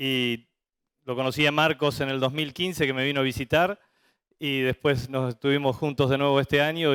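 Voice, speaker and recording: A man with a normal speaking voice, medium pitch, fairly even intonation and a fairly quick pace. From Argentina, Santa Fe (litoral). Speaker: veterinarian, livestock industry manager. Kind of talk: conference talk.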